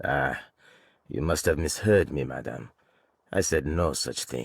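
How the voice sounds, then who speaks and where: In a very clean recording with a silent background, a man puts on a character voice that is raspy and very deep, delivering it at a fairly slow pace. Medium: video game. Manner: measured, guarded.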